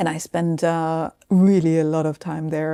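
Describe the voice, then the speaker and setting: A woman with a German accent talks at a moderate pace with fairly even intonation. Her voice is fairly low-pitched with a dark, mellow tone. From southern Germany, Swabia. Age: 60s. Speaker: business executive. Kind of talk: interview.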